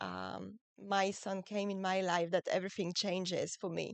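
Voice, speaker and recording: A woman's medium-pitched voice in a French accent, flat and monotone at a fairly slow pace, dry and close with no echo. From France. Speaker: muscular dystrophy expert and author. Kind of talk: podcast interview. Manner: relaxing, soothing; halting, with fillers.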